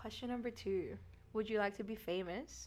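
A woman speaks with an Australian accent and audible vocal fry. Her pitch varies in an ordinary way. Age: young. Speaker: nursing student podcast co-host. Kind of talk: casual chat. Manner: animated.

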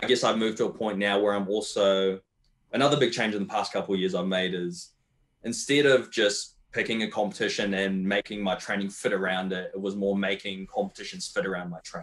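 A man with a New Zealand accent speaks at a fairly quick pace. His pitch is fairly low and his intonation fairly even. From New Zealand, Wellington. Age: 20s. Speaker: competitive powerlifter. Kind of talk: casual chat.

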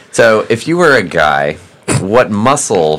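A man's voice over noticeable background noise. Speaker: guest host. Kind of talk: casual comedic banter.

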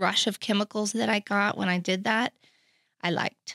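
Speaking in a plain, everyday voice, a woman with an American accent uses medium pitch and fairly even intonation on a very clean recording with a silent background and a dry, close sound with no echo. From Oklahoma City. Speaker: recovery ministry worker, former addict. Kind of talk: personal testimony in interview.

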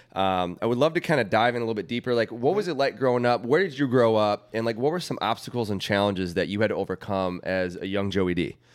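With an American accent, a man at medium pitch races along very fast with lively intonation and hardly any pauses, on a very clean recording with a silent background. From Wheaton, Illinois, US. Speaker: podcast co-host. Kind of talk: casual chat. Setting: studio.

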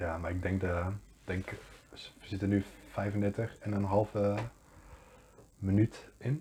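Speech comes at a very slow pace with long, frequent pauses and fairly even intonation. The tone is dark and mellow, and somewhat breathy. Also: man, fairly low pitch for a man. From Netherlands, Deventer. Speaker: podcast co-host. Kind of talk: casual chat.

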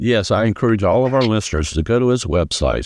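Here is a man with a normal speaking voice and an American accent. His pitch is fairly low and his intonation lively. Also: very clean recording, silent background. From South Carolina. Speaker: podcast host. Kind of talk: podcast interview.

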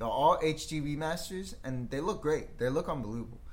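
A man's fairly high-pitched voice comes through with audible room echo. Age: 30s. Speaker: video game podcast co-host. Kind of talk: casual chat.

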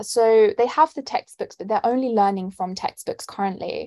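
A woman talks at a moderate pace with a London accent. The sound is dry and close with no echo, and the recording is very clean over a silent background. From London, England. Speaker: student and nonprofit founder. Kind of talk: interview answers.

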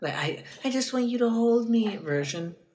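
In a put-on character voice, whiny and with a whiny tone, the speaker uses a fairly high pitch at a moderate pace. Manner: whiny, needy.

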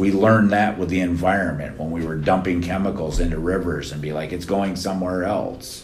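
A man speaks at a moderate pace with a very deep, low pitch. His pitch varies in an ordinary way, and the room echo is audible. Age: 50s. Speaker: nonprofit leader and formerly incarcerated person. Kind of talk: interview.

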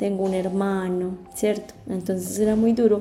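A woman speaks at a fairly slow pace in a medium pitch, her intonation flat and monotone, with audible echo from the room. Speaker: podcast host and adoptee. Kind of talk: personal testimony.

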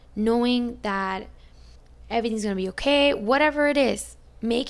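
A woman is speaking. Audible room echo can be heard around her voice. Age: 20s. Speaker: podcast host. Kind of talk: casual solo monologue; guided visualization.

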